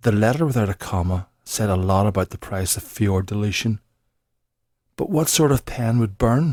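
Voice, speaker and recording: Speaking with a Northern Irish accent, a man uses a fairly low pitch, a moderate pace and ordinary pitch variation. The recording is very clean, with a silent background. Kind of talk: accent sample script reading.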